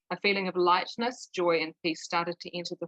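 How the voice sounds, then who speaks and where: This woman has an unremarkable speaking voice, fairly low in pitch with fairly even intonation, and the sound is dry and close with no echo. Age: 50s. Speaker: twelve-step group member. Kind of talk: testimony.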